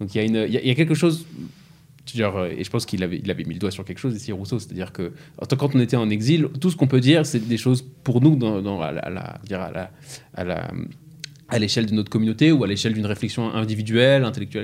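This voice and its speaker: Speaking very fast yet leaving long, frequent pauses, a man uses lively intonation at a medium pitch. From France, Strasbourg (Alsace). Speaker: podcast host. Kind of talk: podcast discussion. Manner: hesitant, frequent word repetitions.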